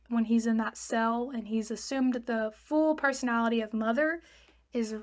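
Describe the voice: Reading aloud, plain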